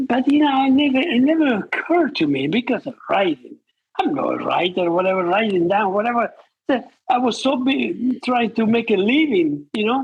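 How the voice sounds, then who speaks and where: Speaking with a non-native accent at a moderate pace, a man uses an extremely high pitch and very wide pitch swings. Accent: foreign. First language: not English. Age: 80s+. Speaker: retired surgeon, author. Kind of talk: interview. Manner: halting.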